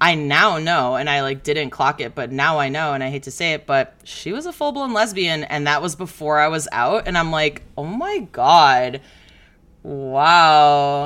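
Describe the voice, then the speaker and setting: A woman with an American accent, very deep and low in pitch, at a fairly slow pace with ordinary pitch variation. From Chicago. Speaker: comedian. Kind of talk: casual chat.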